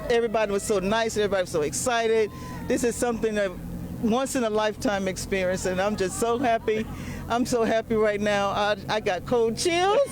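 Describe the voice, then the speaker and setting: Over noticeable background noise, a woman with a fairly high pitch and an American accent speaks at a fairly quick pace, with ordinary pitch variation and very even loudness. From US South, Florida and Georgia. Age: 60s. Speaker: spectator. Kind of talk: on-camera interview. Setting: outdoors at launch site. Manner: animated.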